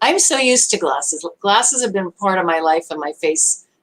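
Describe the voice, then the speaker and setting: With an American accent, a woman talks at a moderate pace and ordinary pitch variation, the sound dry and close with no echo. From US Northeast (Brooklyn, New York). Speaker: online show host. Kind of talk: live stream talk.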